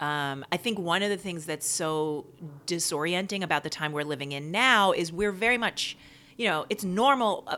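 Recorded very cleanly against a silent background, a woman with an American accent speaks at a moderate pace in a fairly low pitch, her tone bright and sharp and her intonation lively. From New York (Queens). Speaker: playwright and performer. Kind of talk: casual chat.

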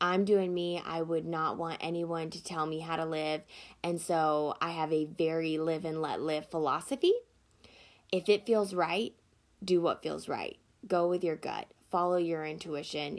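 A woman with a Southern US accent speaks at a moderate pace in a fairly low pitch, her intonation fairly even, on a very clean recording with a silent background. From US Deep South, small town. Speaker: podcast host. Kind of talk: solo podcast monologue. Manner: casual, laughing often.

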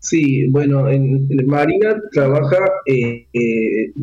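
Somewhat breathy, a man's fairly high-pitched voice keeps a fairly even intonation. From Argentina, Córdoba. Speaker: sports coach and conference speaker. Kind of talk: radio interview.

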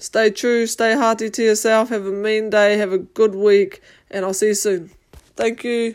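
A fairly high-pitched woman in a New Zealand accent, monotone and flat, at a moderate pace. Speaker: podcast host and amateur boxer. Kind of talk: casual monologue.

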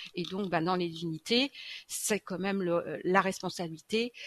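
Her pitch at medium height, a woman talks at a fairly slow pace with ordinary pitch variation. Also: dry, close sound with no echo. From France, Châlons-en-Champagne. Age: 50s. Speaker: nurse. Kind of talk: interview. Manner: hesitant, many fillers.

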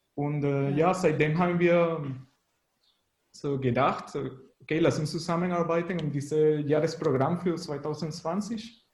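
Room echo is audible as a man talks at a fairly slow pace. His pitch is fairly high and his intonation fairly even. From Venezuela. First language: Spanish (speaking German). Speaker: graphic designer and musician. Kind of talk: radio interview. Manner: halting.

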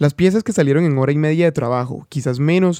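A man's dark, mellow voice, fairly high in pitch with ordinary pitch variation, moves at a fairly quick pace in a dry, close sound with no echo. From Caribbean coast of Colombia. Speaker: podcast host. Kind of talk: podcast narration and interviews. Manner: fast.

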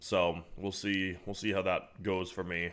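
A man speaks in a very deep, low voice. His intonation is fairly even. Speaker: podcast host. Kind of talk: casual chat. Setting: remote recording.

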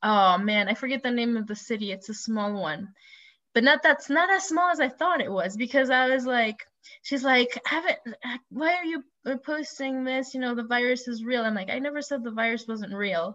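With lively intonation and a high voice, a woman talks at a moderate pace. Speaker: podcast host. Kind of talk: casual chat. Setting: video call. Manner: animated.

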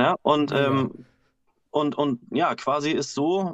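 Here a man's fairly high voice carries fairly even intonation. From Husum, northern Germany. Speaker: bassist and backing singer. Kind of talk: casual chat. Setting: video call from home.

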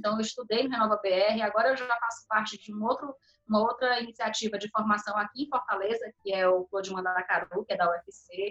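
A woman with an unremarkable speaking voice and fairly high pitch talks fairly quickly with hardly any pauses and fairly even intonation, in a dry, close sound with no echo. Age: 30s. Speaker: city inspector and council pre-candidate. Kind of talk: podcast interview.

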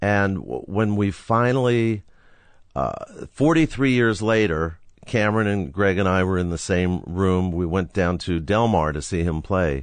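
A fairly slow, lively-intoned delivery in an ordinary speaking voice. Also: man, fairly low pitch for a man. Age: 60s. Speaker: rock photographer. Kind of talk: casual interview, storytelling. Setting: in garage studio.

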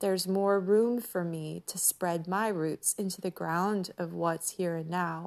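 Using a normal speaking voice, a woman talks at a fairly slow pace with hardly any pauses, a fairly low pitch and fairly even intonation. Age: 40s. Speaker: podcast host. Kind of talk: reflective personal monologue.

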